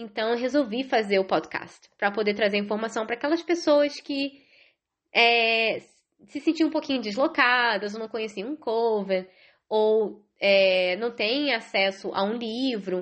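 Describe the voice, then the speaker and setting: A woman speaks at a fairly slow pace in an animated tone, her fairly high voice showing ordinary pitch variation. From Rio de Janeiro, Brazil. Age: 30s. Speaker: podcast host. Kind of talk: casual solo podcast monologue. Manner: chatty, animated.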